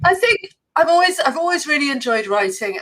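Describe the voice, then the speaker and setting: Very wide pitch swings mark this fairly quick delivery in an English accent. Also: woman. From England. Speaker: copywriting entrepreneur and teacher. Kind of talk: interview. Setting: live stream.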